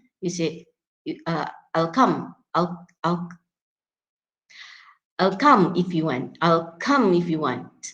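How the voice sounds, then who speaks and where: With a Malaysian accent, a woman speaks at a fairly low pitch. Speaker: English pronunciation teacher. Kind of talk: classroom lecture, code-switching between English and Malay. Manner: hesitant, many fillers and repetitions.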